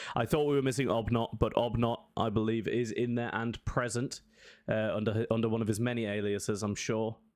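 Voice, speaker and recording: A man at medium pitch and a moderate pace. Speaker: esports caster. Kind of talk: live commentary. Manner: loud; casual rambling filler-heavy.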